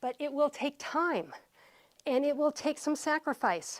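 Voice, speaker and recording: Recorded very cleanly against a silent background, a woman speaks fairly slowly at a high pitch, the sound dry and close with no echo. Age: 60s. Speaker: fitness instructor. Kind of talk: workout instruction. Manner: encouraging, conversational.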